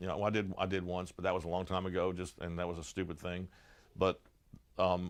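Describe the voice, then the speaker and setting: A man with an American accent talks at a very fast pace in a very deep, low voice. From New Jersey. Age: 60s. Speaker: blues musician. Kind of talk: casual interview. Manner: halting.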